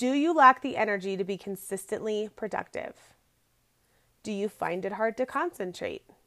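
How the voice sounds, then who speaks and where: A woman's bright, sharp tone, fairly high in pitch, with lively intonation. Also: moderate pace. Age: 30s. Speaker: podcast host, entrepreneur. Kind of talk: solo podcast talk. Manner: casual, filler-heavy.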